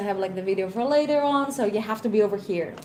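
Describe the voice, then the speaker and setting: With a Greek accent and ordinary pitch variation, a woman speaks in a fairly high voice amid noticeable background noise and audible room echo. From Greece. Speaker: tech conference speaker. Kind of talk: panel discussion.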